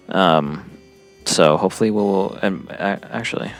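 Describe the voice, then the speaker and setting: A man with a very deep, low pitch speaks with lively intonation over noticeable background noise. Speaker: podcast host and musician. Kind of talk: casual chat. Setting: airport.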